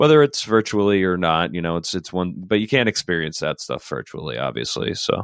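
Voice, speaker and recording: A man talks fairly quickly, with hardly any pauses, in a very deep, low voice with very wide pitch swings. The sound is dry and close with no echo, over a quiet background. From rural Rhode Island. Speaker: poet. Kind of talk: interview conversation.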